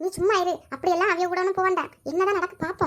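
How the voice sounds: A woman speaks very fast in a cartoonish character voice at an extremely high pitch, squeaky throughout. Her intonation stays monotone and flat.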